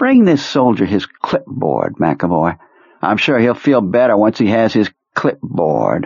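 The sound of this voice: Putting on a character voice, a man speaks fairly slowly at a fairly low pitch with very wide pitch swings, vocal fry, a slightly husky edge and a slightly mellow tone.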